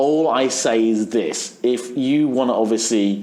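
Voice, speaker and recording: With lively intonation, a man speaks in an English accent. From England. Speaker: dance event DJ. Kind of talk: interview answer.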